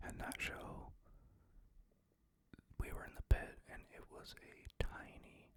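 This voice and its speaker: A man whispering. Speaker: ASMR creator. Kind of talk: ASMR whispered ramble. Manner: whispered, soft-spoken.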